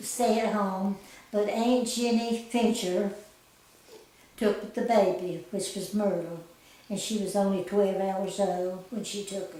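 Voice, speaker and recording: A woman with an Appalachian accent speaks very slowly at a medium pitch, her intonation fairly even and her loudness swinging widely. Noticeable background noise and audible room echo fill the recording. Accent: Southern US, Appalachian. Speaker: grandmother sharing life story. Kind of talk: oral history interview. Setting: at a house in the mountains.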